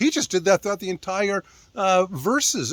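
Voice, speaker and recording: The speaker has an animated tone and a moderate pace, recorded with a dry, close sound and no echo. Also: man. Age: 60s. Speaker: ministry founder. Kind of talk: casual talk to camera.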